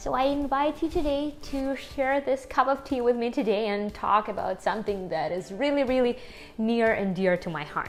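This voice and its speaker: Speaking with a strong Ukrainian accent, a woman uses a high pitch and lively intonation at a moderate pace, with music in the background. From Ukraine. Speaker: language vlogger. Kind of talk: casual vlog talk to camera.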